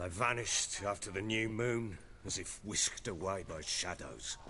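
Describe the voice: A man's low, bright and sharp put-on character voice at a fairly slow pace. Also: ordinary pitch variation.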